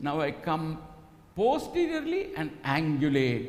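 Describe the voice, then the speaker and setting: With a Telugu accent, a man speaks in very wide pitch swings. The recording has audible room echo and noticeable background noise. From Karnataka, India. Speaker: ultrasound / fetal medicine teacher. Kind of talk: live teaching demonstration. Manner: animated.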